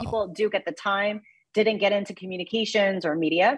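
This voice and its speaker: With an American accent, a woman speaks at a very fast pace in a somewhat breathy voice, her medium pitch showing ordinary variation. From US Midwest (Mexico, Missouri). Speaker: sports broadcaster and former tennis player. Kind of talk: interview.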